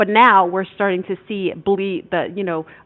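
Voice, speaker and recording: A woman speaks with a New York accent. Her intonation stays fairly even. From New York (Mount Vernon), French Caribbean Creole family. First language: French. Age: middle-aged. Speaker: online show host. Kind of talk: livestream monologue. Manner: passionate, loud at times; halting, repeats words.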